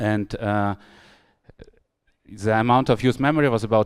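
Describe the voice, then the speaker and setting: A man with a German accent at a medium pitch, with ordinary pitch variation and a moderate pace. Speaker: software architect giving a tech talk. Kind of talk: conference talk. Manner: hesitant, many fillers.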